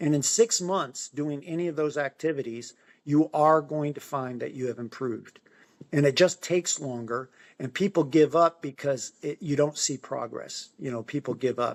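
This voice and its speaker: This man has a normal speaking voice and an American accent. His pitch is fairly high with ordinary variation, at a moderate pace. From Finger Lakes, New York. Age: 60s. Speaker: amateur half-marathon runner. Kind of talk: interview answer. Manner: casual, encouraging.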